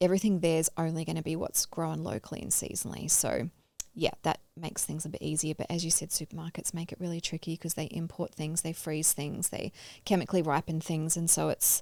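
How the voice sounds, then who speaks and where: A woman with an Australian accent, fairly low pitch, a dark, mellow tone, monotone, flat intonation and a fairly quick pace. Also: very clean recording, silent background. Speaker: podcast co-host, health practitioner. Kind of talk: casual chat.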